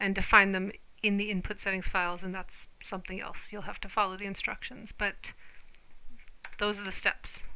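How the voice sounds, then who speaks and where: Loud, bright and sharp-toned speech from a woman at medium pitch, moderate in pace, with monotone, flat intonation. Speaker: gaming tutorial youtuber. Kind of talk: tutorial. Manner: loud, talking over music.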